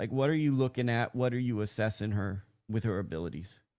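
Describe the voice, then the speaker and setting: A man's medium-pitched voice with a West Coast American accent, very fast and lively, on a very clean recording with a silent background. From US West Coast. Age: 40s. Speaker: boxing interviewer. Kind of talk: interview.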